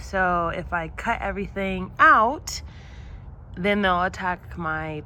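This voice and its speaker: A woman talks at a very slow pace, and audible room echo can be heard. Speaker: gardening vlogger. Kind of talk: casual vlog narration. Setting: outdoors in backyard garden. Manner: halting, hesitant with fillers.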